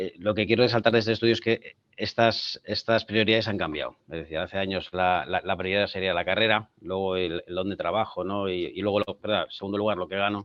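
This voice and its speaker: A man with fairly low pitch talks at a fairly quick pace with fairly even intonation and hardly any pauses. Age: 50s. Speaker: tech company CEO. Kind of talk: panel discussion. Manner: halting.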